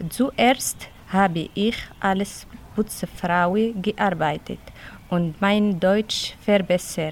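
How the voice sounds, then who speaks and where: A woman's medium-pitched voice at a very slow pace, with long, frequent pauses, ordinary pitch variation and very even loudness. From Tunisia. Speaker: childcare worker. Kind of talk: reading aloud. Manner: halting.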